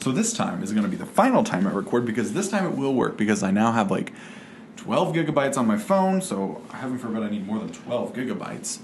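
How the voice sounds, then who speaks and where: A man at a medium pitch with very wide pitch swings and a very fast pace, amid noticeable background noise and audible room echo. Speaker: vlogger. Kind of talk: casual vlog monologue. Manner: rambling with many fillers.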